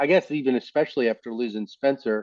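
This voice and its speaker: A man speaks in a dark, mellow tone with an American accent. His intonation is fairly even and his pace fairly quick. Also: dry, close sound with no echo. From US South, Mississippi. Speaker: podcast host, economist. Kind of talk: interview.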